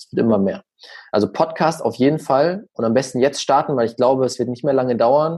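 Against a quiet background, a man with a medium-pitched, unremarkable speaking voice talks at a moderate pace with ordinary pitch variation. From Germany, small village. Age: young. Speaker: social media marketing expert. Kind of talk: podcast interview.

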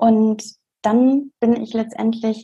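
A woman speaks at a fairly slow pace in a fairly high, somewhat breathy voice with a dark, mellow tone. Her intonation is monotone and flat, and her tone is calm. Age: 20s. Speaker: doctor and coach. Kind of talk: interview.

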